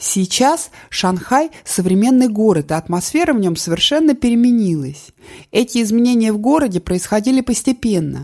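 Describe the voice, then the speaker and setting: This woman's fairly high voice has a dark, mellow tone and is somewhat breathy, moving at a moderate pace with big swings in loudness and very wide pitch swings. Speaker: audiobook narrator. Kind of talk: literary audiobook reading, calm and measured memoir narration. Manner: reflective, subdued, steady cadence.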